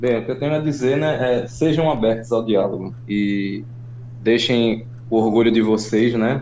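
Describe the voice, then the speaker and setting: The man's voice sits at a medium pitch with fairly even intonation and a fairly slow pace. Room echo is audible. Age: 30s. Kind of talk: testimony.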